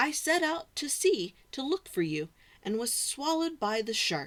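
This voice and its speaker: A woman's put-on character voice, high-pitched with very wide pitch swings, moderate pace, very clean recording on a silent background. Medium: read story.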